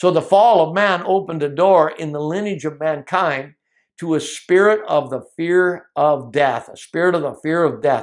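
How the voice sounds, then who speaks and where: Against a quiet background, a man with an ordinary speaking voice talks at a moderate pace with a fairly high pitch, ordinary pitch variation and big swings in loudness. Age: 60s. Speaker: Bible teacher. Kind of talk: teaching sermon.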